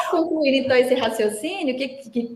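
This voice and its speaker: With a Minas Gerais accent, a woman speaks in an animated tone with lively intonation. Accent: mineiro Brazilian Portuguese. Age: 40s. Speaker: labor lawyer. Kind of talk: podcast interview.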